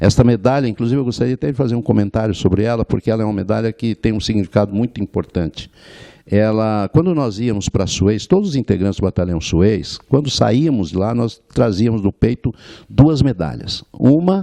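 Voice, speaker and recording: Speaking at a fairly quick pace, a man uses lively intonation in a fairly low, dark, mellow tone. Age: 70s. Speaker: war veteran. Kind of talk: interview. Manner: halting.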